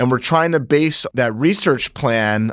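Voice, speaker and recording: A man with an American accent and a normal speaking voice, fairly slow, with ordinary pitch variation, in a very clean recording over a silent background. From Northeast New Jersey. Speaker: surgeon scientist. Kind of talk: interview on medical research.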